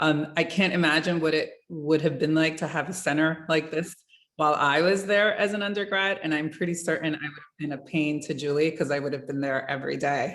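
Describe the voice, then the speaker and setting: The speech runs at a very fast pace with big swings in loudness and fairly even intonation. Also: woman, very deep, low pitch for a woman. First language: Spanish. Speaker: museum communications executive. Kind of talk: career talk in virtual workshop. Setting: video call.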